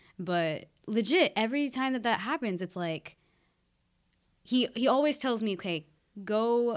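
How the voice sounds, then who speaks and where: A woman with a West Coast accent speaks at a fairly high pitch and fairly slow pace, with lively intonation and long, frequent pauses, on a very clean recording with a silent background. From Oregon, US (Keizer). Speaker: student. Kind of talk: casual chat.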